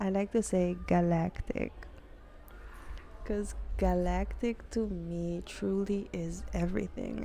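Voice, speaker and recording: A woman speaks softly. Her tone is calm. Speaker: spiritual channeler giving readings. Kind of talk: spiritual monologue to camera. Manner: soft, low volume.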